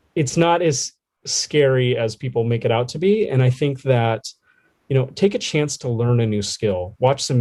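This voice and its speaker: A man's medium-pitched voice with a dark, mellow tone and ordinary pitch variation. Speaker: makerspace facilitator. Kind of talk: podcast interview. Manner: loud; animated.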